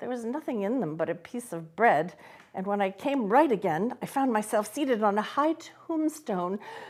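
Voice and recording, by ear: A text is read aloud in a natural voice whose intonation is lively.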